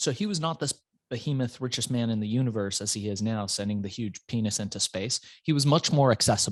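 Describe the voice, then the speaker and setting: A man speaks with an American accent at a very fast pace. The background is quiet. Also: medium pitch for a man, ordinary pitch variation. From Iran, raised in the US from age five. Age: 40s. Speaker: entrepreneur. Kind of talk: interview storytelling. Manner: animated.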